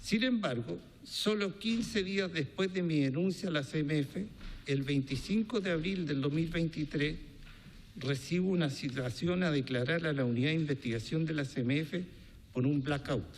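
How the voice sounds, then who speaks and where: With a Chilean accent, a man speaks at a fairly high pitch. His intonation is lively and his loudness very even. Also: moderate pace. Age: 60s. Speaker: businessman testifying before a congressional commission. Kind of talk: testimony.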